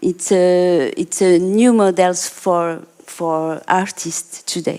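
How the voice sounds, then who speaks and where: A woman with a non-native accent speaks very slowly at a fairly low pitch. Her tone is dark and mellow, with fairly even intonation. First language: not English. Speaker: artist and art therapist. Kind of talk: panel discussion. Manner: halting.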